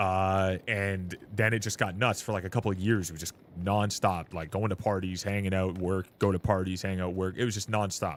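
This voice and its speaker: In a very clean recording with a silent background, a man with a Canadian accent talks at a moderate pace in a very deep, low voice, his intonation monotone and flat, with hardly any pauses. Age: 20s. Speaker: gaming streamer. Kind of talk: casual chat. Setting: live stream.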